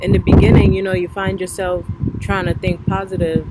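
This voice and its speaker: A woman speaks with a Trinidadian accent. Noticeable background noise can be heard. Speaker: spiritual vlogger. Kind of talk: casual monologue. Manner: relaxed, conversational.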